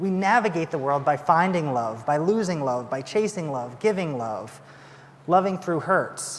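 Using an unremarkable speaking voice, a man talks at a fairly slow pace with a fairly high pitch and ordinary pitch variation. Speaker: assistant pastor. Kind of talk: sermon. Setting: church.

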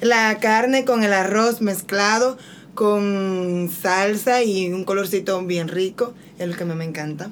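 Amid noticeable background noise, a woman speaks at a very slow pace with a medium pitch and ordinary variation. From Santo Domingo, Dominican Republic. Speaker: missionary. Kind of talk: testimony.

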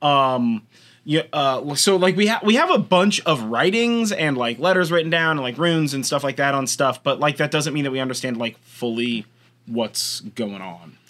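This man has a plain, everyday voice with a fairly high pitch. He talks at a moderate pace with lively intonation. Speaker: podcast host. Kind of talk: casual chat.

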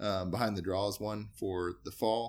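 A man's very deep, low voice with vocal fry and fairly even intonation, on a very clean recording with a silent background. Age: 30s. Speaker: hunting outfitter and guide. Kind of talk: casual interview.

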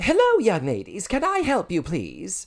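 A man puts on a character voice pitched high. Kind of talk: polite, formal, period-style inflection.

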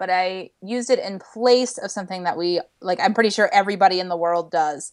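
A woman with a normal speaking voice talks at a medium pitch against a quiet background. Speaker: camp program director. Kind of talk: casual chat. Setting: video call with poor connection.

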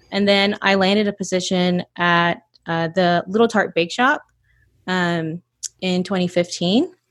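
A woman with a normal speaking voice, medium pitch and an American accent talks at a fairly slow pace with fairly even intonation. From US South, North Georgia. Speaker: baker and bakery owner. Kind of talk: casual interview.

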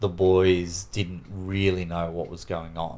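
With an Australian accent, a man speaks in a very deep, low pitch. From Sydney, Australia. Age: 40s. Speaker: interviewee sharing personal story. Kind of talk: personal interview testimony. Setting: at his home.

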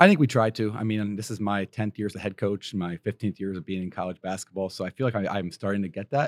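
A man with an American accent speaks very fast at a fairly low pitch with fairly even intonation. The recording is very clean, with a silent background and a dry, close sound with no echo. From western Pennsylvania. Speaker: college basketball coach. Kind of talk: interview. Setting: basketball event venue.

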